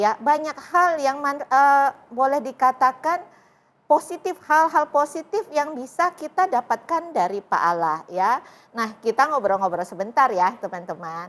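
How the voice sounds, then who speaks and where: The speaker's pitch swings very widely at a fairly slow pace. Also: woman, high pitch for a woman. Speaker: talk show host. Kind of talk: interview. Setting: studio.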